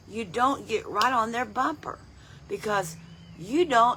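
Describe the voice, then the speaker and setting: With an American accent, the speaker talks at a fairly slow pace in a bright, sharp tone with vocal fry. The pitch swings very widely. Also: woman. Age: 70s. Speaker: lay Bible teacher. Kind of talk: devotional Bible teaching. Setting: outdoors on front porch.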